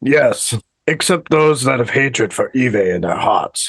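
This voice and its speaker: A man's put-on character voice, raspy and medium in pitch, at very even loudness. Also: fairly slow pace. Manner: caveman-like.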